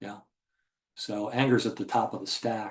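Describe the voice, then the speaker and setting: Medium pitch and a moderate pace from a man, a normal speaking voice. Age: 60s. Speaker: trading educator. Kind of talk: webinar Q&A. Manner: casual, many fillers.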